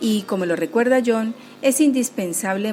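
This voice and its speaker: At a moderate pace, a woman with an unremarkable speaking voice talks with lively intonation. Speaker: radio host and coordinator. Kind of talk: radio show presenting.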